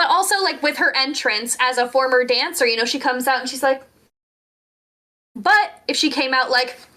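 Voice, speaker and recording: Raised and projected, a woman's high-pitched voice carries lively intonation. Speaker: wrestling commentator. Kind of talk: casual chat. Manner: clear enunciation.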